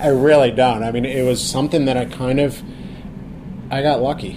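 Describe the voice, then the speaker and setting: Noticeable background noise runs behind a man's voice. He speaks at a moderate pace in a medium pitch. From Pittsburgh, Pennsylvania. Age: 40s. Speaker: chef. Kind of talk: interview.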